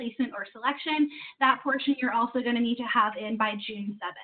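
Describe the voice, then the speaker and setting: A woman with a high pitch speaks at a fairly quick pace, her pitch varying in an ordinary way. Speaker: university housing staff member. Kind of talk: informational presentation. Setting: video call. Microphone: video call.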